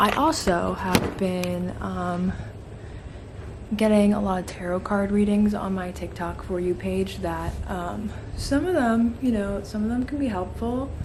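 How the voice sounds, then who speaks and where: A woman's voice at a fairly slow pace, with noticeable background noise and audible room echo. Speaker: vlogger, college film student. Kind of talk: casual vlog. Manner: chatty, rambling with fillers.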